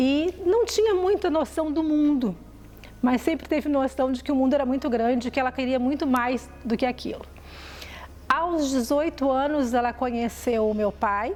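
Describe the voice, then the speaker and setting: At a moderate pace, a woman with a high pitch speaks in lively intonation, her loudness very even throughout. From southern Brazil, Porto Alegre. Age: 50s. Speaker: journalist. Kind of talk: personal life story.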